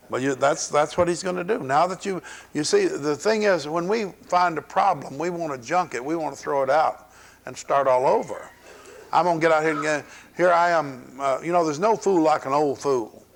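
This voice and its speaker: Talking at a moderate pace, a man speaks with a Southern US accent. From US South. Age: 60s. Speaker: pastor. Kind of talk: sermon. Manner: animated.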